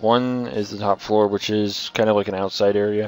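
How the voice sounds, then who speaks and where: Noticeable noise sits behind this man's voice. His pitch is fairly low. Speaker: video game let's player. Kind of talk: gameplay commentary. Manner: casual, hesitant with fillers.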